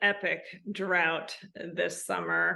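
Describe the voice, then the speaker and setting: Here is a woman with a Midwestern American accent. Her tone is bright and sharp. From US Midwest, outside Chicago, Illinois. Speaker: equestrian eventing rider and riding instructor. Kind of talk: casual interview chat.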